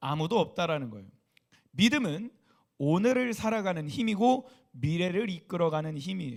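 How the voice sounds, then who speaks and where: A man's high-pitched voice with lively intonation, in a very clean recording against a silent background. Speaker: youth pastor. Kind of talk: sermon. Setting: church service. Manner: soft-spoken.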